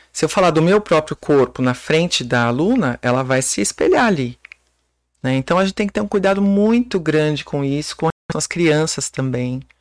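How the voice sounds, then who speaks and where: A woman speaks in a very deep, low pitch, with very wide swings in that pitch. The sound is dry and close, with no echo. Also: moderate pace. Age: 40s. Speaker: personal trainer. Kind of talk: casual chat.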